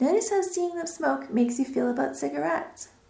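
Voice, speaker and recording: Her high-pitched voice swings very widely in pitch while keeping a calm, soothing tone, with noticeable noise behind the woman. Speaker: hypnotherapist. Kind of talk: guided hypnosis session for quitting smoking. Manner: slow, calm, soothing.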